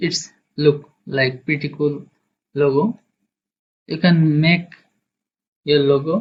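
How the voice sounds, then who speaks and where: A man's somewhat breathy, fairly high voice at a very slow pace, with ordinary pitch variation and long, frequent pauses. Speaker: graphic design tutorial creator. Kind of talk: software tutorial. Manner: halting.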